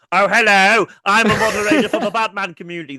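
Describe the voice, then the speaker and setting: A man does a put-on character voice, nasal and high-pitched. He races along at a very fast pace. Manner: nerdy.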